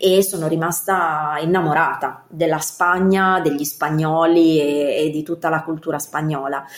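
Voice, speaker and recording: Speaking at a moderate pace with fairly even intonation, a woman has a fairly low pitch and a plain, everyday voice. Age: 30s. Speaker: professional organizer. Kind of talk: interview.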